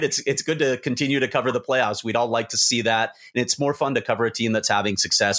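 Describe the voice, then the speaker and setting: A man with an American accent at a very fast pace. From Chicago, US Midwest. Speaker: hockey reporter. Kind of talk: casual podcast chat.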